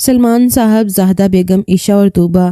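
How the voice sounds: The voice heard here is a natural reading voice.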